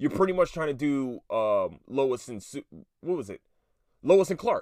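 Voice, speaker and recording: A man talks in an animated tone at a moderate pace, with very wide pitch swings. The recording is very clean and the background silent. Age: 30s. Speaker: podcast host. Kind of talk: casual solo monologue.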